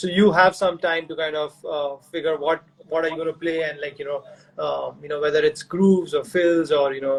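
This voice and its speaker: Here a man speaks in a fairly high voice. Noticeable background noise runs underneath. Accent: Indian. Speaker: session drummer, interviewer. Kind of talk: casual interview. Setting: live video stream.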